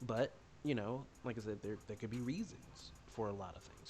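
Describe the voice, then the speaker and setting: Over music in the background, a soft-spoken man talks at a medium pitch. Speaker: streamer. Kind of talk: casual livestream chat. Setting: livestream with chat. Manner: halting, many repetitions.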